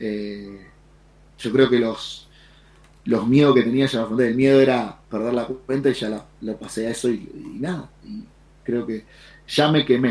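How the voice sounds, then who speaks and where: A man speaks at a medium pitch and a fairly slow pace. His speech has long, frequent pauses. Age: 40s. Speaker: trader and streamer. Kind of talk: casual chat.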